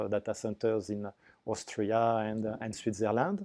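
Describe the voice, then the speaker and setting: Here a man talks at a moderate pace in a medium pitch with a dark, mellow tone. The sound is dry and close with no echo, over a quiet background. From France. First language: French. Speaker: business development manager. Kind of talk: business interview. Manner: halting.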